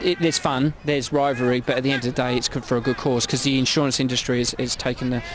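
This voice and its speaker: A man talks at a very fast pace and a medium pitch, with fairly even intonation. Noticeable background noise is present. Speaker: insurance underwriter, event organiser. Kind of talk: on-location interview. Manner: halting, many repetitions and fillers.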